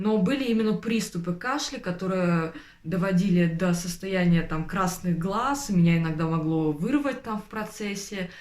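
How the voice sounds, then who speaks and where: There is audible room echo and noticeable background noise as a woman with a medium-pitched voice talks at a moderate pace with ordinary pitch variation. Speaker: vlogger, former tutor. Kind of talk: personal vlog monologue. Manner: hesitant, many filler sounds.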